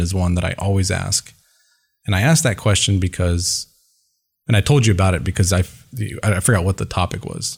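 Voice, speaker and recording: A man with a very deep, low pitch, somewhat breathy, ordinary pitch variation and a fairly quick pace, on a very clean recording with a silent background. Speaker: sales executive. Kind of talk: interview. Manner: soft-spoken; measured.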